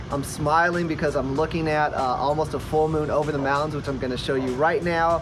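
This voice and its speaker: A man with a fairly high voice talks at a fairly quick pace, with hardly any pauses and a monotone, flat intonation. Noticeable background noise and audible room echo fill the recording. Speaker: real estate agent. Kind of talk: casual vlog talk to camera. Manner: fast; filler-heavy, repeats words.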